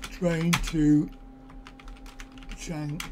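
A man speaks at a very slow pace, his pitch fairly high and his tone dark and mellow, with faint background noise.

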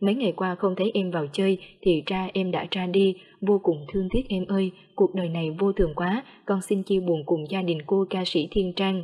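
A woman's dark, mellow tone at medium pitch, with fairly even intonation and a moderate pace. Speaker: news narrator. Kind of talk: news reading.

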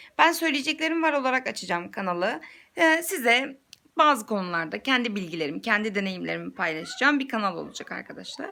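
A woman talks at a fairly quick pace with a fairly high pitch and very wide pitch swings. Her tone is bright and sharp, with vocal fry. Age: 20s. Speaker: YouTuber and mother. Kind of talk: casual vlog introduction. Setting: selfie video at home.

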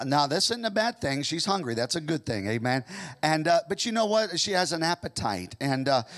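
A man speaking at a fairly quick pace against a quiet background. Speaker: pastor. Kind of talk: sermon. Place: church. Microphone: handheld.

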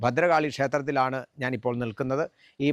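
In a dry, close sound with no echo, a man with a plain, everyday voice speaks at medium pitch with fairly even intonation. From Kerala, Kottayam district (Amanakara, Ramapuram). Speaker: temple committee member and religious preacher. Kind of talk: on-location interview. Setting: outdoors at a temple.

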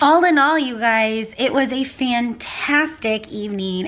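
A woman speaks at a moderate pace in a fairly high pitch, with a fairly bright tone and ordinary pitch variation.

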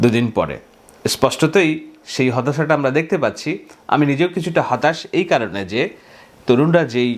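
A man with an unremarkable speaking voice, fairly high in pitch, with ordinary pitch variation and very even loudness. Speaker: political commentator. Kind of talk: monologue news analysis.

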